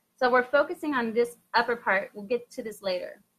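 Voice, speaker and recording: A woman's high, animated voice at a fairly quick pace, with ordinary pitch variation. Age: 40s. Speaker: makeup artist and beauty channel host. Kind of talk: live makeup tutorial. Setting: live video stream. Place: home room. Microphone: webcam.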